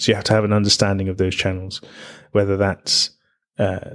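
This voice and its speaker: In a London accent, the voice holds a monotone, flat intonation on a very clean recording with a silent background. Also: man. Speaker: musician and entrepreneur. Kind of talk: casual chat.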